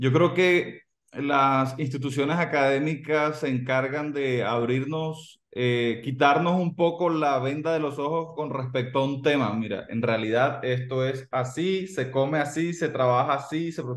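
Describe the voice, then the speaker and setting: Audible room echo surrounds a man against an otherwise quiet background. He speaks fairly slowly at a fairly high pitch, with fairly even intonation. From Colombia. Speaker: digital marketing agency co-founder. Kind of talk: interview. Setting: video call. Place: home room. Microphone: video call.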